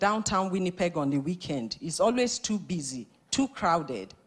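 At a fairly slow pace, a woman speaks at medium pitch with very wide pitch swings. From Nigeria. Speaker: immigrant church member giving testimony. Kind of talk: testimony read from notes.

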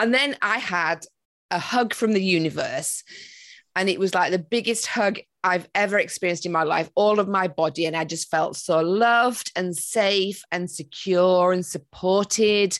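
This is a plain, everyday voice from a woman at medium pitch. She keeps a moderate pace with ordinary pitch variation. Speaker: meditation and manifestation coach. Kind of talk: podcast interview.

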